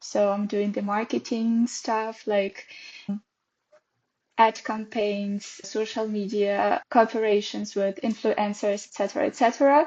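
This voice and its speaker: Speaking at a fairly slow pace, a woman with a Russian accent has a fairly high pitch. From Russia, Perm. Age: 20s. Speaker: dance teacher. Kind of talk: casual interview.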